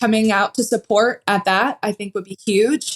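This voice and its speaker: A woman with an American accent talks in a normal speaking voice at a fairly high pitch. Her moderate pace sits in a dry, close sound with no echo. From western Pennsylvania. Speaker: pole vaulter. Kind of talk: casual interview.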